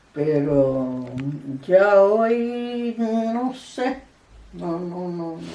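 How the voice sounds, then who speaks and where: A woman at a medium pitch with very wide pitch swings, a very slow pace, long, frequent pauses and audible room echo. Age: 80s+. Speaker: elderly interviewee sharing memories. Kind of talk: oral history interview. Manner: halting, with repetitions.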